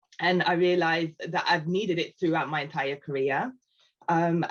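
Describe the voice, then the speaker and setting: Someone with a British accent talks at a moderate pace. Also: woman. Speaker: customer success team lead. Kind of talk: panel discussion.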